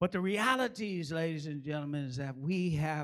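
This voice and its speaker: Here a man speaks in a fairly high pitch with ordinary pitch variation. His tone is animated. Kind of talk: sermon. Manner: animated, call-and-response preaching with humor; fervent, exhorting, rhythmic pulpit delivery.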